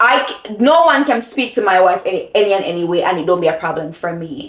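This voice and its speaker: Speaking at a very fast pace, a woman with a medium pitch makes very wide pitch swings. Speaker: lifestyle vlogger. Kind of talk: casual chat. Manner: loud when passionate.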